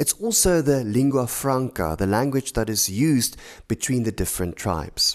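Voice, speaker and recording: This man has a South African accent. The recording is very clean, with a silent background. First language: Afrikaans. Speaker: author. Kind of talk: explainer talk.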